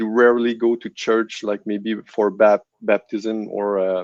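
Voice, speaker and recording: Recorded dry and close with no echo over a quiet background, a man with a French Canadian accent speaks at a fairly slow pace. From Quebec City, Canada. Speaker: guest giving faith testimony. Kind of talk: testimony interview. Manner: halting, many restarts.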